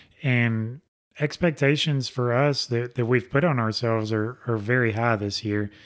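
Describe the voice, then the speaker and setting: Recorded very cleanly against a silent background, a man with a Southern US accent talks at a medium pitch and moderate pace with fairly even intonation. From Alabama. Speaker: race car driver. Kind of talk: casual interview. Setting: studio.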